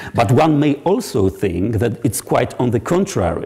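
A man speaks with a Polish accent in a dark, mellow, somewhat breathy tone and lively intonation against a quiet background. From Poland. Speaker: psychology researcher; guest lecturer. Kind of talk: lecture. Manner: halting, many fillers; formal. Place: hall. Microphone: lapel.

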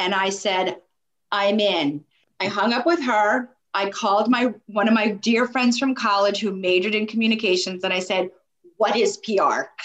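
A woman with an American accent and an unremarkable speaking voice talks at a moderate pace, medium in pitch with ordinary pitch variation. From New York. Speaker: sports marketing agency executive. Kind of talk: interview.

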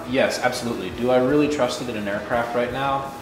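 A man talks at a very fast pace. Audible room echo and light background noise accompany him. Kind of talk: casual vlog chat. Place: garage. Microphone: phone near.

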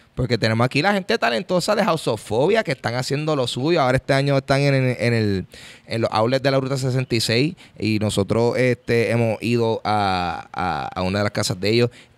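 A man with lively intonation at a moderate pace. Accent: Puerto Rican. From Puerto Rico. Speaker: podcast host. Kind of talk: casual chat. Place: hall. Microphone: studio mic.

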